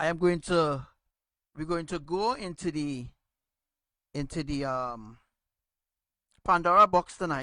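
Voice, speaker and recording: A man speaks loudly in a fairly high pitch with a bright, sharp tone and ordinary pitch variation. His pace is fairly slow, with long, frequent pauses. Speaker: religious teacher. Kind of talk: religious teaching.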